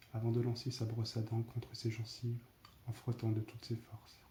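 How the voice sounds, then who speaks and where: This soft-spoken man has a dark, mellow, somewhat breathy tone at a medium pitch. His intonation is monotone and flat, and his pace is moderate. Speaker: ASMR storyteller. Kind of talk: read story.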